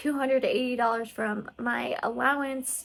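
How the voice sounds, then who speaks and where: Fairly slow, fairly even speech from a woman with an American accent and a high pitch. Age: 20s. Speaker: nursing student and personal finance vlogger. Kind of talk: casual vlog monologue.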